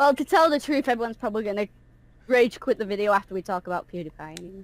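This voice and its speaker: Lively intonation and big swings in loudness mark a woman speaking very fast at a fairly high pitch. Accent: Manchester. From northern England, Manchester. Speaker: YouTuber and voice actor. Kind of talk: casual chat. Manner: loud at times.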